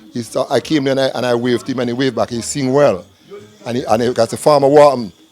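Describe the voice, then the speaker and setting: A man talks at a very fast pace with medium pitch and fairly even intonation. Noticeable background noise runs underneath. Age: 60s. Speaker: community elder. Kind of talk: interview.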